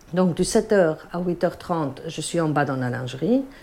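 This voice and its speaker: A woman at a very slow pace, her intonation lively, with noticeable background noise. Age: 40s. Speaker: hospital laundry manager. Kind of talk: interview testimony and workplace tour.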